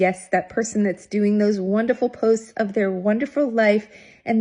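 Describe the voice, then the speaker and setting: A woman speaks at a moderate pace in a medium pitch, her voice somewhat breathy. Her tone is dark and mellow, and the background is quiet. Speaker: retirement wellness platform founder. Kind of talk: casual talk to camera, advice video. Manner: upbeat, energetic, chatty.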